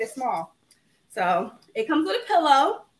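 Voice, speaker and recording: A woman projects her raised voice at a high pitch with a bright, sharp tone. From Providence, Rhode Island. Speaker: small business owner, home decor maker. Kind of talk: casual interview.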